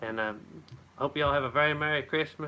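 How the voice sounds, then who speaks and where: A man with an Appalachian accent talks at a fairly quick pace. His pitch is fairly high and his intonation fairly even. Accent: Appalachian, like Tennessee. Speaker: homesteader. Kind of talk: live stream chat. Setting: live stream at home. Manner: casual, halting.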